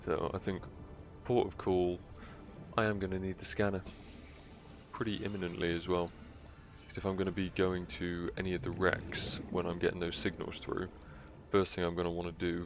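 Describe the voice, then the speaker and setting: With a British accent, a man speaks in a very deep, low voice, his intonation flat and monotone, leaving long, frequent pauses. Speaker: gaming streamer. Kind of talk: live gameplay commentary. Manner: casual, hesitant.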